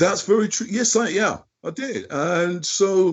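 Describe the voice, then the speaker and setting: A man is speaking with a British accent. His pace is fairly slow. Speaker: drummer. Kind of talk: interview. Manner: halting.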